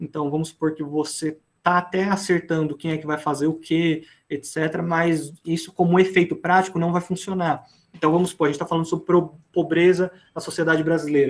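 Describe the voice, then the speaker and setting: Here a man talks with a high pitch. His intonation is monotone and flat. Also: fairly quick pace. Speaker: teacher. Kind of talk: lecture. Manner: fast.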